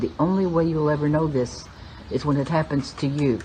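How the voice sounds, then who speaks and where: A woman speaks with a very deep, low pitch and fairly even intonation. Noticeable background noise can be heard. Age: 70s. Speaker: spiritual teacher. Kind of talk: spiritual talk.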